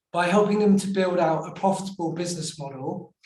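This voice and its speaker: In a room with audible echo, a man talks fairly quickly at a high pitch with fairly even intonation. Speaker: startup founder. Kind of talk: panel interview.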